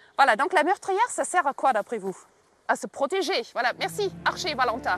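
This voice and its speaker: An animated woman with a German accent, high-pitched, with very wide pitch swings and big swings in loudness, at a moderate pace, in a dry, close sound with no echo and music in the background. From Germany. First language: German (speaking French). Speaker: castle tour guide for school groups. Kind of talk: guided tour for children.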